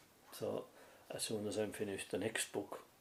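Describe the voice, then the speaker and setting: A man talks fairly quickly in a mid-range, somewhat breathy voice. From Ireland. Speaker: storyteller. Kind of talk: interview answer. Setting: home interview.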